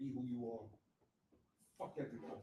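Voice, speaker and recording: Somewhat breathy and at medium pitch, a man talks at a fairly quick pace. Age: 60s. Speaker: motivational speaker. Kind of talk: motivational talk. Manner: animated.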